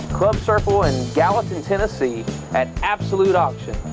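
A man's voice with clear music in the background. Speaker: auctioneer. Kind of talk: real estate auction promo. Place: garden.

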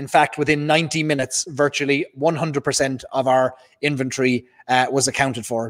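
Over a quiet background, a man speaks in a monotone, flat way. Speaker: live stream host. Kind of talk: livestream announcement to viewers. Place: home room. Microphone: studio mic.

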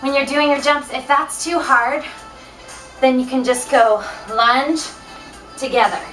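A woman's high voice with ordinary pitch variation, a fairly slow pace and faint music in the background. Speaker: fitness instructor. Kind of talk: workout instruction. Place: home room. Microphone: camera far.

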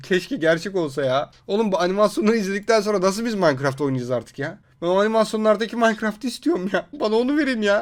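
A man puts on a whiny, high-pitched character voice and rattles along at a very fast pace. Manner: whiny, mock-upset, joking.

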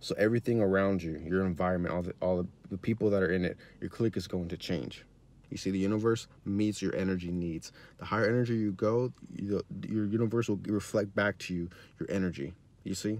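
Recorded dry with no echo, a man speaks at a fairly low pitch with fairly even intonation. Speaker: self-help YouTuber. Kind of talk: motivational vlog monologue. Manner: halting, many fillers and repeats. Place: car. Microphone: phone near.

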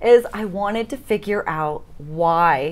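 Her intonation is lively as the woman speaks. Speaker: interview guest. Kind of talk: interview answer. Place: studio.

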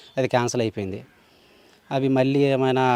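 Recorded dry and close with no echo, a man speaks at a medium pitch over noticeable background noise. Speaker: villager. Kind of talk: interview.

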